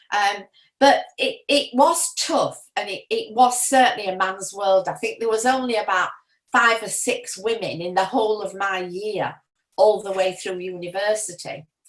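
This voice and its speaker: In a Yorkshire accent, a woman speaks at a moderate pace with a fairly high pitch and lively intonation. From Yorkshire, northern England. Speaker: retiree sharing memories. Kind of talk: personal reminiscence. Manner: hesitant, many fillers.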